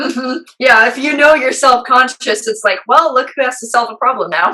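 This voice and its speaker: A woman uses a raised, projected voice, high in pitch with ordinary variation. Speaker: musician. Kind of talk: casual chat. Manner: fast.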